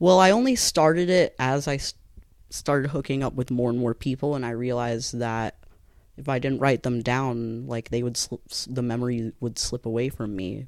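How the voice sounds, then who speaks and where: Using a normal speaking voice, the man keeps a medium pitch, a moderate pace and ordinary pitch variation. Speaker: podcast co-host. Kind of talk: casual chat.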